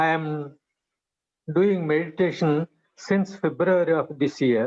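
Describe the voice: A man's slow delivery with a slightly mellow tone. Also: fairly high pitch for a man, ordinary pitch variation.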